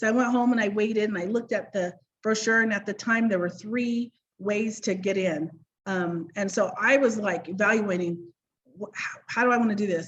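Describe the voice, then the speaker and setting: A woman's medium-pitched voice with an American accent and fairly even intonation. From US, Idaho. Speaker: direct sales director. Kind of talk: personal business story on a panel. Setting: video call. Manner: fast.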